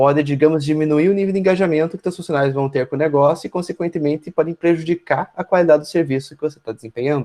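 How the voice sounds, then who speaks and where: A very fast pace with ordinary pitch variation, in a dry, close sound with no echo. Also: man. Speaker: university lecturer. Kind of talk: online lecture.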